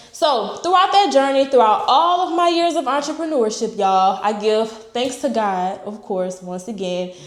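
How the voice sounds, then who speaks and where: Hardly pausing, a woman talks at a moderate pace and a fairly high pitch with very wide pitch swings, amid noticeable background noise and audible room echo. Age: 20s. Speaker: entrepreneur and real estate vlogger. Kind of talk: casual motivational vlog talk. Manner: casual, unscripted, with fillers like okay and all right.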